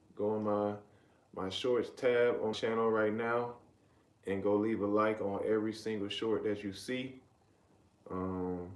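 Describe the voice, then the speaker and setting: With an American accent, a man speaks at a moderate pace in a fairly low, monotone voice, leaving long, frequent pauses amid audible room echo. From US South, Riverdale, Georgia (south Atlanta). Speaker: live streamer. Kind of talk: casual live stream chat. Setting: live stream.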